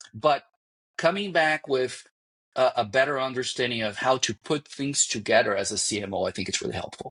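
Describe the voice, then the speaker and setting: With a slight Brazilian accent, a man speaks with very wide pitch swings in a dry, close sound with no echo. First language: Portuguese. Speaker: marketing executive. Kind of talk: podcast interview. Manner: halting, with false starts.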